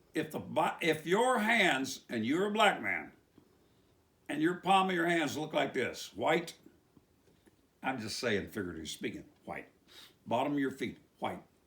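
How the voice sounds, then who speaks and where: A man's fairly high, bright, sharp voice with vocal fry in an Appalachian accent, very wide pitch swings, moderate pace and long, frequent pauses. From West Virginia. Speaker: preacher. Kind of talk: religious commentary monologue. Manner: animated.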